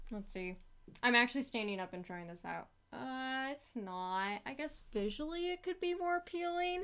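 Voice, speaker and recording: A woman talks at a moderate pace in a high pitch. Her voice swings very widely up and down. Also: very clean recording, silent background. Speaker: animator streamer. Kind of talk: live stream commentary while drawing. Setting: live stream. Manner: casual, filler-heavy.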